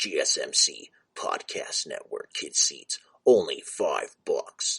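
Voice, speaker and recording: A man puts on a character voice, pitched extremely high for a man and delivered at a fairly slow pace. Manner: loud, hyped, over-the-top.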